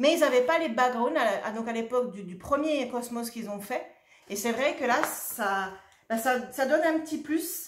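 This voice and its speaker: A woman speaks in an animated tone at a high pitch with ordinary pitch variation. Her loudness swings widely, and there is audible room echo. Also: moderate pace. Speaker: shop owner presenting craft products. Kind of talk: product presentation video.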